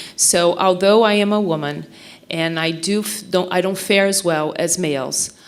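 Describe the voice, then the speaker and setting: Noticeable background noise sits behind a woman with a Portuguese accent. Her pitch is medium, her pace moderate and her intonation fairly even. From Brazil. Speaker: mental health nonprofit director. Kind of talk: speech at a forum.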